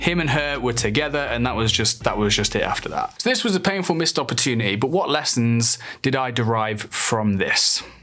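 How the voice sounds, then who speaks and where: Speaking with a British accent at a fairly quick pace and with hardly any pauses, a man uses a bright, sharp tone, a medium pitch, lively intonation and very even loudness. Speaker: dating coach. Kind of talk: storytelling monologue.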